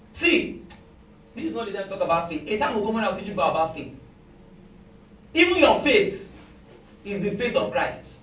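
The voice has an animated tone, very wide pitch swings and big swings in loudness. Long, frequent pauses break the speech over noticeable background noise. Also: man, high pitch for a man, fairly quick pace. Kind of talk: sermon; fervent prayer and commanding deliverance, in a sermon. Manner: loud, fervent, declaring and commanding, with repeated Amens; animated, preacherly, repeating phrases for emphasis.

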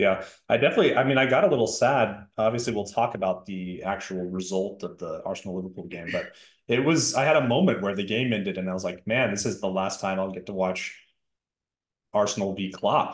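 An ordinary speaking voice from a man, fairly low-pitched and fairly quick, its pitch varying in an ordinary way. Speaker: podcast co-host. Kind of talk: casual football podcast chat.

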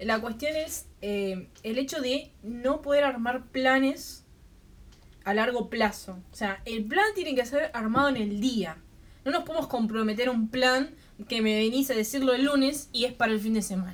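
Speaking at a fairly slow pace, the woman has a high-pitched voice. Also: ordinary pitch variation. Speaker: podcast co-host. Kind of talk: casual chat.

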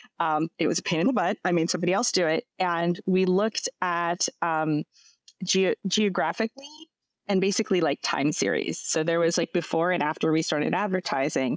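In a very clean, dry, close recording with a silent background and no echo, a woman speaks with an American accent at a fairly low pitch. She has a normal speaking voice, a fairly quick pace, ordinary pitch variation and very even loudness. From US East Coast. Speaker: tech company CEO. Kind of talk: casual interview.

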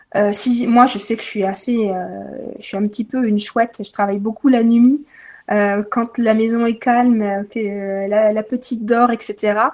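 Monotone, flat intonation at a fairly slow pace. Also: woman, fairly high pitch for a woman. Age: 30s. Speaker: Reiki teacher. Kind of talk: interview.

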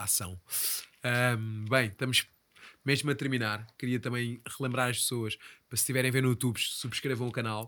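With a European Portuguese accent, a man speaks at medium pitch in a bright, sharp tone and a monotone, flat intonation. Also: moderate pace. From Portugal, Ribatejo. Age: 30s. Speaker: podcast host. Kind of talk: casual interview chat.

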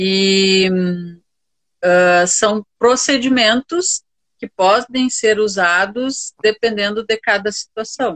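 The speaker uses ordinary pitch variation, and the sound is dry and close with no echo. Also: woman. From Rio Grande do Sul, Brazil (Santa Maria). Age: 50s. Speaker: university professor and restorative justice instructor. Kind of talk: interview conversation. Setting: Instagram live video stream.

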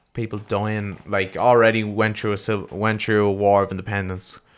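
Fairly low in pitch, a man talks at a moderate pace. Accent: Irish. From Ireland. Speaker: podcast co-host. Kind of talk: casual chat. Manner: animated.

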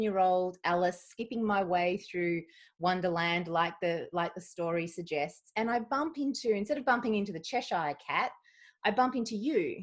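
Against a quiet background, an unremarkable speaking voice moves at a moderate pace with lively intonation. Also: woman. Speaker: podcast host. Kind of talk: interview conversation.

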